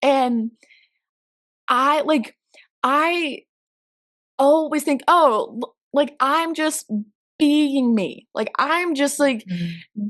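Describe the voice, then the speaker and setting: Long, frequent pauses break up a woman's very slow delivery. Her pitch is high. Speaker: camp ministry media director. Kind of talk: interview answer.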